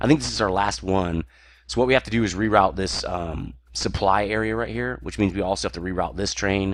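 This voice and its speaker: A man with a very deep, low pitch shows vocal fry and very wide pitch swings. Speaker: gaming let's play creator. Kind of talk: gameplay commentary. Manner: casual, halting with fillers.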